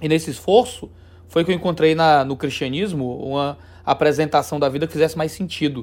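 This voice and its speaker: A man talks at a fairly quick pace. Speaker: theologian and religious YouTuber. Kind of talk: interview conversation.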